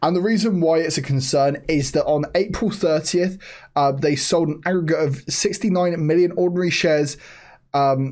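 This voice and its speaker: A man speaks quietly at a moderate pace with very even loudness. His pitch is fairly high, with ordinary variation. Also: very clean recording, silent background. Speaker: stock market youtuber. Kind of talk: stock analysis commentary. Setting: at home, family member asleep upstairs. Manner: kept quiet, voice lowered.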